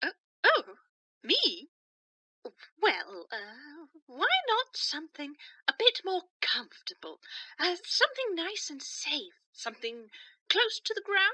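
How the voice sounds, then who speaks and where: A woman's put-on character voice, extremely high in pitch with very wide swings, fairly slow, with long, frequent pauses. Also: big swings in loudness, dry, close sound with no echo. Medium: audio drama. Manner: hesitant, stammering, soft.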